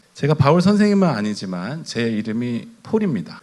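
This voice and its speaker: The speaker is a man with a medium pitch. His voice swings very widely in pitch. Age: 50s. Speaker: pastor. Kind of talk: sermon.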